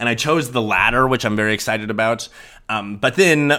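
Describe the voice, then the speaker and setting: In a very clean recording with a silent background, a man with a Midwestern American accent speaks at a fairly quick pace in a bright, sharp tone. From rural western Nebraska. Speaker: podcast co-host. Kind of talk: casual chat. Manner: halting, many fillers.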